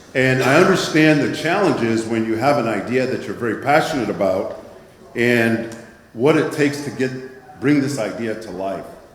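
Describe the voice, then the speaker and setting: Recorded with audible room echo and noticeable background noise, a man speaks at a medium pitch and moderate pace with ordinary pitch variation. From Nigeria. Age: 60s. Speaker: impact investing presenter. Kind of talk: conference presentation.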